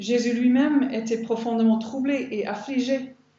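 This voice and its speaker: A woman speaks in a fairly high voice. Noticeable noise runs in the background. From Ireland. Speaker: biblical counselor and women's conference speaker. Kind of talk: sermon.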